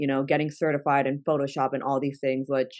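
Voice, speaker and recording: A woman's very deep, low voice in a Spanish accent, at a fairly quick pace. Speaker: content creator. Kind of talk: interview conversation.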